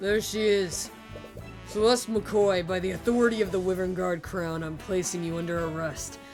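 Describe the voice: Over clear background music, a put-on character voice, gruff and gravelly, delivers its lines at a moderate pace. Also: woman, medium pitch for a woman.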